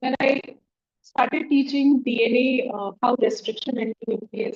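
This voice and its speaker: A soft-spoken woman with an Indian accent, high pitch and ordinary pitch variation, at a moderate pace in a dry, close sound with no echo. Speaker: education technology trainer. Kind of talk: workshop talk.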